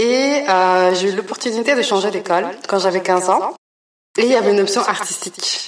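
This woman has a normal speaking voice, medium in pitch with ordinary variation, delivered at a moderate pace. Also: very even loudness. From Belgium, raised partly in Congo. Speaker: artist. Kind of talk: interview. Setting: art gallery.

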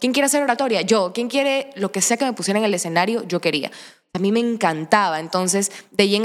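A woman talks at a very fast pace. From Ecuador, Manabí (Santa Ana). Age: 20s. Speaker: actress and social media creator. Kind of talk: casual interview chat.

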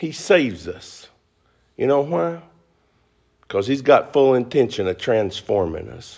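Against a quiet background, a man with a Southern US accent speaks at a medium pitch and a fairly slow pace, with very wide pitch swings, big swings in loudness and long, frequent pauses. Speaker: pastor. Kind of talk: sermon. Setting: church.

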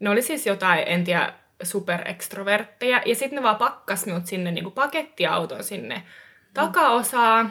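Here a woman talks in an ordinary speaking voice at a medium pitch. She keeps a moderate pace. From eastern Finland. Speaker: experienced hitchhiker. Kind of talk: casual chat.

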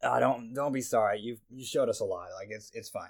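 Putting on a raspy character voice, a man talks at a moderate pace. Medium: actual play. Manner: relaxed, mildly put-upon, reassuring.

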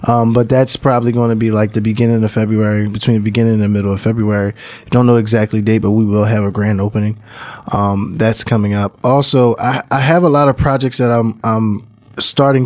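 With an American accent, a man talks at a fairly quick pace in an unremarkable speaking voice, his pitch medium and his intonation fairly even. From Philadelphia, North Philly. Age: 30s. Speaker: music producer and studio owner. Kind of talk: casual interview chat.

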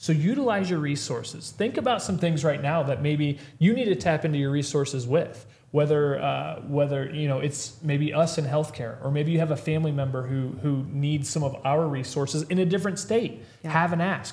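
A man with a Midwestern American accent talks at a fairly quick pace in a fairly high pitch. His pitch variation is ordinary, and there is audible room echo. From Missouri, rural US Midwest. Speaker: health practitioner podcast host. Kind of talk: casual chat. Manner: energetic, motivational.

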